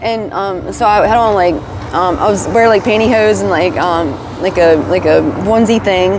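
A woman with an American accent speaks with fairly even intonation in a dry sound with no echo, though noticeable background noise is present. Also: moderate pace. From Virginia. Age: 30s. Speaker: homeless person in recovery interview; interviewee. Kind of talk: interview. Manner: hesitant, many fillers. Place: street. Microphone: lapel.

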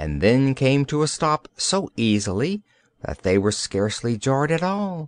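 Reading done in an unforced voice.

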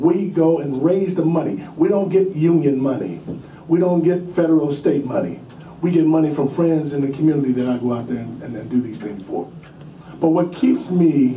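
Audible room echo and light background noise surround a man's voice. He talks at a moderate pace with ordinary pitch variation. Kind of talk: public testimony. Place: meeting room.

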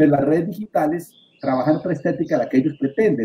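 With a dark, mellow tone and ordinary pitch variation, a man talks at a very fast pace. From Colombia, Boyacá (Andean highlands). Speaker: media and communication expert. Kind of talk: panel discussion.

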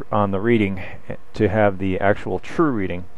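A man's fairly low voice, fairly slow, with ordinary pitch variation and a dry sound with no echo. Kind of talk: tutorial. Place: workshop. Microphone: camera far.

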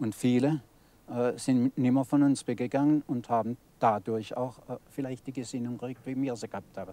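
Over a dry sound with no echo, a man with a dark, mellow tone speaks at a moderate pace with fairly even intonation. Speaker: elderly club member, witness. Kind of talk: interview recollection. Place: garden.

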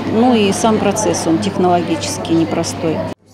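A woman at a fairly low pitch, fairly slow pace and ordinary pitch variation, with clear background noise

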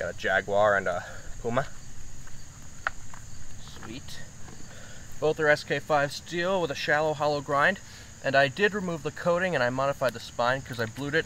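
Lively intonation and a bright, sharp tone mark this man's speech, which has long, frequent pauses and a dry sound with no echo over light background noise. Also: moderate pace. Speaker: knife reviewer. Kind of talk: casual vlog chat. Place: garden.

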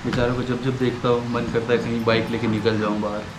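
A man speaks at a fairly low pitch with monotone, flat intonation. Background noise is clearly audible.

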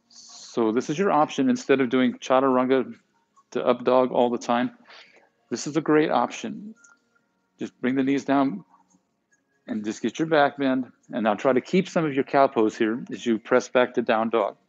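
A man speaks in a soothing, calm tone with ordinary pitch variation. Long, frequent pauses break up his speech against a quiet background. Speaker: yoga instructor. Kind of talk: guided yoga class, calm cueing of poses and breath with brief reflective asides. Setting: live online broadcast to home viewers. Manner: soothing, calm and unhurried, giving short instructions in rhythm with breath; warm, conversational and encouraging, with playful words like yumminess. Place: gym.

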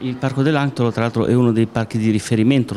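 Dark and mellow in tone, a man's voice moves at a fast pace.

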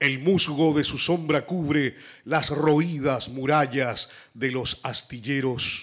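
A man's fairly high voice, very slow, with ordinary pitch variation and a quiet background. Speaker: poet. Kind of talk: poetry reading. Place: hall. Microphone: podium.

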